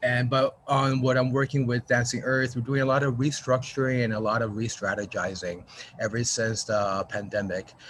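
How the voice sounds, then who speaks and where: The man's loudness stays very even, and his intonation is fairly even too. He talks at a moderate pace over noticeable background noise. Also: medium pitch for a man. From New Mexico, US. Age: middle-aged. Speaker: arts organization marketing director. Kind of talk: video call check-in introduction.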